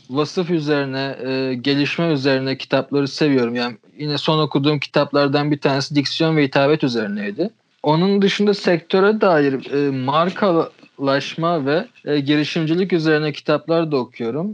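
A man with an unremarkable speaking voice talks at a moderate pace, his fairly high pitch rising and falling with ordinary variation. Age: 20s. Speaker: magazine founder. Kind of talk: casual chat.

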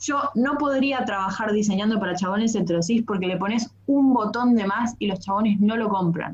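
With a Rioplatense accent, a woman speaks at a fairly high pitch and a moderate pace, hardly pausing, against noticeable background noise. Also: ordinary pitch variation. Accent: Argentine Rioplatense Spanish. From Argentina, Bariloche (Patagonia). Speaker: textile designer and comedian. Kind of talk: casual interview chat.

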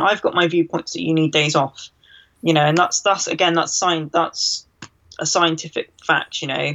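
An unremarkable speaking voice at a moderate pace. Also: woman. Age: 20s. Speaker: bodybuilder and nutrition coach. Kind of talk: interview.

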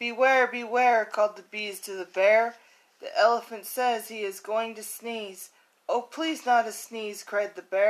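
The speaker reads in an unforced reading voice with fairly even intonation.

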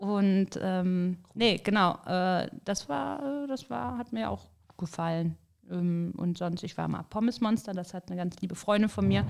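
A woman speaks in a normal speaking voice at medium pitch, fairly slowly, with lively intonation. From Rhineland, Bergisches Land. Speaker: podcast host. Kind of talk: casual chat.

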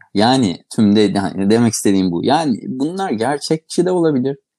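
At a moderate pace, a man speaks in a dark, mellow tone with very wide pitch swings. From Aegean Turkey, İzmir. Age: 40s. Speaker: ENT surgeon and associate professor. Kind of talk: interview.

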